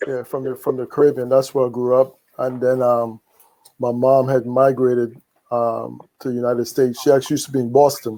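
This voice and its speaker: In a Trinidadian accent, a man talks at a fairly quick pace with a medium pitch and a dark, mellow tone. His intonation is monotone and flat. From Trinidad and Tobago. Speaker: podcast host. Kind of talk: casual podcast conversation.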